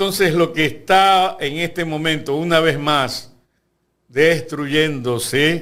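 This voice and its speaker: Speaking very slowly with fairly even intonation, a man with a fairly high pitch is heard amid audible room echo. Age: 70s. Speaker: lawyer and university lecturer. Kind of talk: interview.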